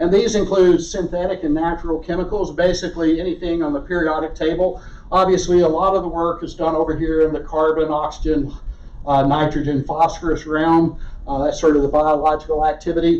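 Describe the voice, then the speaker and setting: A man with a Southern US accent speaks at a high pitch in a flat, monotone way, with audible room echo. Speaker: research geologist. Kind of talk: lecture.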